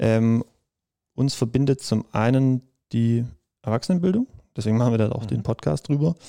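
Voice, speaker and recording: With a dark, mellow tone, a man speaks at a medium pitch and a moderate pace, with ordinary pitch variation and long, frequent pauses, in a dry, close sound with no echo. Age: 20s. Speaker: podcast host, adult education student. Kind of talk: casual chat.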